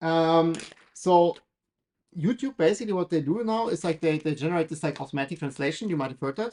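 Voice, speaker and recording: The speaker has a German accent. The pace is fairly quick. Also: quiet background. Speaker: maker building a 3D printer on livestream. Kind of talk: casual livestream build commentary. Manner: hesitant, many fillers.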